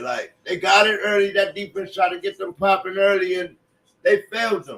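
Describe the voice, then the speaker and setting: A raised, projected voice carries at a moderate pace. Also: man. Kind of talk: live sports commentary. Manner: casual, conversational, opinionated.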